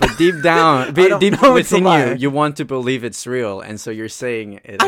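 Speaking at a fairly slow pace with hardly any pauses, the voice shows very wide pitch swings and big swings in loudness over noticeable background noise. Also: man. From Colombia. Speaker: podcast guest; college student.

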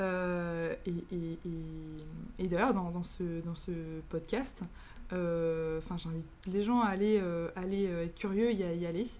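A woman's dark, mellow, fairly low voice at a very slow pace, fairly even in intonation, with audible room echo. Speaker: podcast host, student. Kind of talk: podcast interview. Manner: halting.

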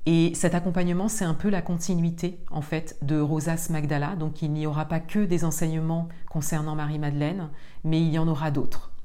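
Noticeable background noise and audible room echo surround a woman at a moderate pace. Her intonation is monotone and flat. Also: fairly low pitch for a woman. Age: 40s. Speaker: spiritual podcast host. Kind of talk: solo monologue. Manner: halting.

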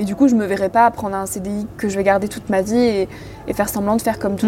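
A very fast woman at medium pitch, with music in the background. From rural France. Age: 20s. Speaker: podcaster. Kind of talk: casual chat. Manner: animated.

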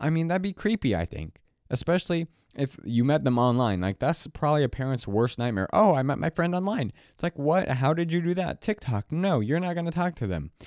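Talking at a fairly quick pace, a man uses a fairly high pitch with very wide pitch swings. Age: young. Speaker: solo podcaster. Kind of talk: casual solo monologue. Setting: home alone late at night. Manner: rambling, halting. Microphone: new audio interface, clean feed.

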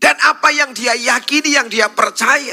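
Using a raised, projected voice, a man speaks at a moderate pace with an extremely high pitch. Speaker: pastor. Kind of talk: sermon.

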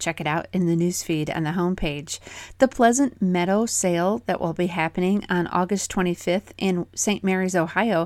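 A woman with a plain, everyday voice on a very clean recording with a silent background. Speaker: dairy news podcast host. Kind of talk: radio-style market report read aloud, rapid dispatch of prices and sale announcements. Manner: brisk, even, businesslike; crisp, rattling off figures in a steady newsreader cadence.

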